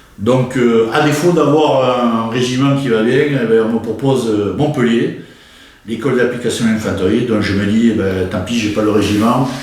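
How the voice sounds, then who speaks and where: A man talks at a moderate pace with ordinary pitch variation, audible room echo and noticeable background noise around him. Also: medium pitch for a man. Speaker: war veteran. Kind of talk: interview. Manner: hesitant, many fillers.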